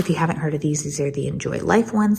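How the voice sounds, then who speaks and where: Soft-spoken, a woman talks in a very deep, low pitch over noticeable background noise. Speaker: homemaker vlogger. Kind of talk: casual vlog tutorial. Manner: quiet, soft.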